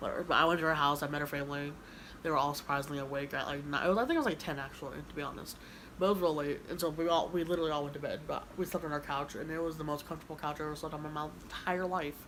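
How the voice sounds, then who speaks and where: Mumbling at a very fast pace, a woman with an American accent and a very deep, low pitch keeps fairly even intonation, with audible room echo. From Kansas, US. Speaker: YouTuber. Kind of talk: casual chat. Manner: halting.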